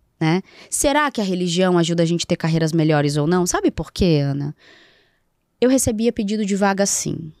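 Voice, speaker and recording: A woman's fairly low-pitched voice, fairly quick and lively in intonation, dry with no echo, over a quiet background. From Rio de Janeiro, Brazil. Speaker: psychoanalyst and NGO founder; psychoanalyst. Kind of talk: casual interview. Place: studio. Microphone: studio mic.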